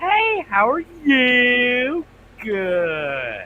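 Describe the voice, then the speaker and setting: The voice sits fairly high. It is a put-on character voice. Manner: gushing, excited.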